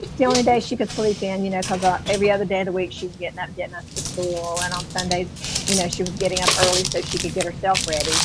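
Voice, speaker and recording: A soft-spoken woman in a Southern US accent, medium-pitched and very fast, with noticeable background noise and audible room echo. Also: fairly even intonation. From US South, North Florida near Georgia. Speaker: mixed media artist, YouTuber. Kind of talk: casual chat.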